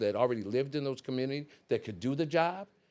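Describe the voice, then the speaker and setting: A man with an American accent and an ordinary speaking voice, medium pitch with ordinary variation, on a very clean recording with a silent background. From Richmond, California (San Francisco Bay Area). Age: 60s. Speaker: mayoral candidate. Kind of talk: interview.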